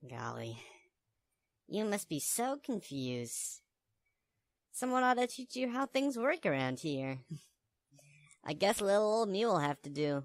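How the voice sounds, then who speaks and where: A put-on character voice at middle pitch makes very wide pitch swings. It moves at a moderate pace with long, frequent pauses. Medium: voice reel. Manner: folksy, friendly.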